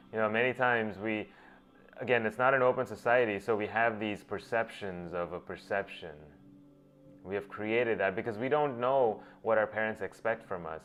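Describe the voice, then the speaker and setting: Music plays in the background as a man talks at a moderate pace. His pitch is fairly low, with ordinary pitch variation. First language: Gujarati. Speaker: self-help speaker, doctor. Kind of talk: motivational talk. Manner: halting, with many restarts.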